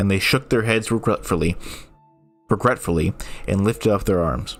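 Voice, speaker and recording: A medium-pitched man's voice with music in the background. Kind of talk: reading of public domain ghost stories.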